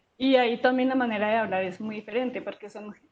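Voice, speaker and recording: Fairly high in pitch, a woman speaks with a somewhat breathy voice. Her pace is moderate and her intonation fairly even. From foreign, not Colombian. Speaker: geosciences professor. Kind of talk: interview. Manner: halting, many fillers.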